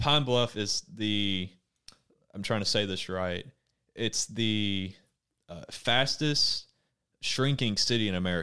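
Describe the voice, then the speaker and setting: A man's fairly low voice in an Arkansas accent, bright and sharp in tone, at a very slow pace, with ordinary pitch variation and long, frequent pauses. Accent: US Southern (Arkansas). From Arkansas (Conway, Faulkner County). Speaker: university student. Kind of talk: casual chat.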